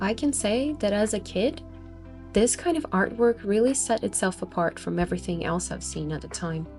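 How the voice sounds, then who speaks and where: A woman talks at a moderate pace with an upbeat tone. Music plays in the background. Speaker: artist. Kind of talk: casual narration over exhibition footage.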